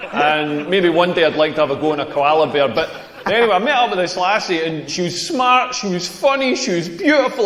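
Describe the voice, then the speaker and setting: Amid noticeable background noise and audible room echo, a man with a Scottish accent talks fairly quickly in a high pitch with very wide pitch swings. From rural Scotland. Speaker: comedian. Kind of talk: stand-up. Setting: stage with audience. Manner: animated.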